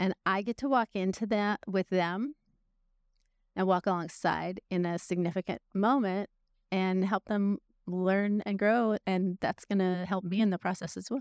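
A woman's a plain, everyday voice with an American accent, medium in pitch, at a fairly slow pace and with fairly even intonation, in a dry, close sound with no echo on a very clean recording with a silent background. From Northern California. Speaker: church volunteer mentor. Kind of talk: interview testimony.

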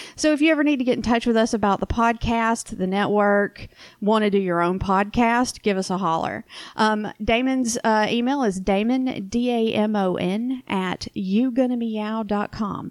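In a Southern US accent, a woman speaks at a fairly high pitch with ordinary pitch variation. Her pace is moderate, and the recording is very clean with a silent background. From US South. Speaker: podcast co-host. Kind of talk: casual chat.

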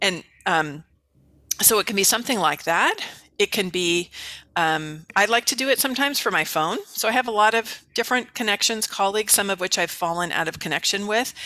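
A woman speaks fairly quickly with an American accent. Her medium-pitched voice has lively intonation. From US West Coast, San Francisco Bay Area. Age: 50s. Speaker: author and business coach. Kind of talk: interview. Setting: video call.

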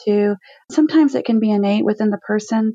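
Fairly high in pitch, a woman talks at a fairly quick pace. It is a plain, everyday voice. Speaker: speech-language pathologist. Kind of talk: panel conversation.

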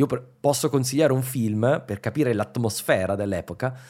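The recording is very clean, with a silent background. A dark, mellow tone moves along at a fairly quick pace. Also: man. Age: 40s. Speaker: history podcaster. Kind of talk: casual chat.

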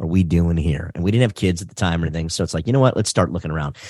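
With an American accent, a man talks with lively intonation against a quiet background. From Detroit, Michigan. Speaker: race driving instructor. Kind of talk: casual interview.

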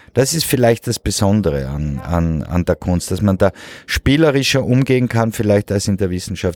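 A man speaks with lively intonation in a very clean recording with a silent background and a dry, close sound with no echo. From Switzerland. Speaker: painter. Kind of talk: interview. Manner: halting.

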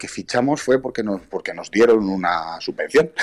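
A man with ordinary pitch variation, over noticeable background noise. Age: 30s. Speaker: amateur American football player and club vice president. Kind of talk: interview.

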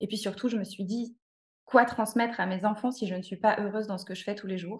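A woman speaks at a fairly quick pace and medium pitch, somewhat breathy. Her intonation is monotone and flat. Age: 30s. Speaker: cooking therapy practitioner. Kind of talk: interview.

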